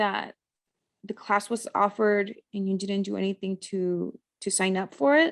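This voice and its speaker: The sound is dry and close with no echo as a woman speaks at a moderate pace with ordinary pitch variation. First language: not English. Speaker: podcast host. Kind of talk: interview.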